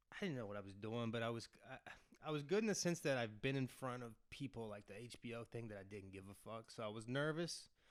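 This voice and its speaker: A man with an Appalachian accent talks at a very fast pace and medium pitch, with big swings in loudness. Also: ordinary pitch variation. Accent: Appalachian American. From West Virginia. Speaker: actor. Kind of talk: casual chat.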